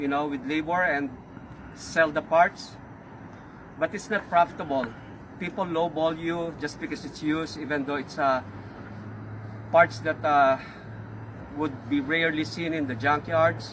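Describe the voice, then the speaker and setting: Long, frequent pauses break up the speech. The intonation stays fairly even, in a Filipino accent. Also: man, fairly high pitch for a man, moderate pace. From Philippines. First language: Filipino language (not English). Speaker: auto repair shop owner. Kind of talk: casual talk to camera. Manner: halting, many fillers.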